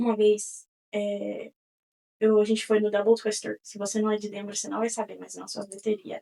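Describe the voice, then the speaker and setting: With a dark, mellow tone and a fairly high pitch, a woman talks at a moderate pace in a flat, monotone way, her loudness swinging widely. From Connecticut, US (Brazilian family). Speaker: podcast host. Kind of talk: casual monologue. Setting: studio.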